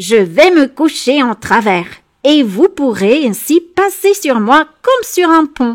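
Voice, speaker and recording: A woman puts on a character voice, pitched high with very wide swings, and delivers it at a fairly slow pace. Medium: read story.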